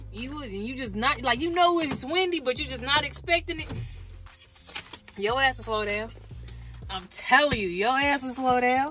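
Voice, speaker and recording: With music in the background, a raised, projected voice carries lively intonation at a moderate pace. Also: woman. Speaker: truck driver. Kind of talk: casual vlog talk. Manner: loud; animated.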